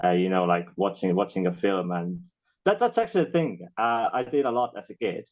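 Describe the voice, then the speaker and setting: A man with an Estonian accent and a very deep, low pitch, with ordinary pitch variation. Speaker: filmmaker and actor. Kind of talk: casual chat.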